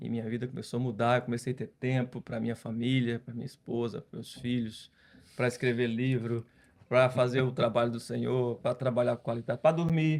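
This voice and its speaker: A man at a fairly quick pace, with monotone, flat intonation and big swings in loudness. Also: medium pitch for a man. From Brazil, Ceará (Northeast). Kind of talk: podcast interview testimony.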